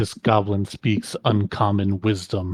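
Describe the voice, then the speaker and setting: A man speaks at a fairly slow pace in a put-on character voice pitched fairly low. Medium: actual play. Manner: imperious, dismissive.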